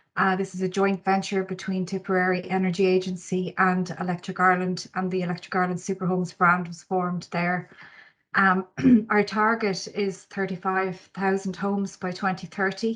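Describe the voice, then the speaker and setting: With an Irish accent, a woman speaks at a moderate pace. Her medium pitch stays monotone and flat. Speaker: energy company marketing manager. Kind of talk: conference presentation. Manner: hesitant, many fillers.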